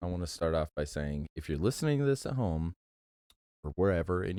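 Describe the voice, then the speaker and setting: Quiet and dry, close with no echo on a very clean recording with a silent background, a man speaks at a very deep, low pitch with a dark, mellow tone and ordinary pitch variation. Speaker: movie podcast co-host. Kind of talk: casual chat. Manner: kept low, quiet voice.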